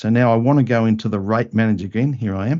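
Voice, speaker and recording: A man's medium-pitched voice with ordinary pitch variation, an ordinary speaking voice. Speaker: software trainer. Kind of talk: tutorial.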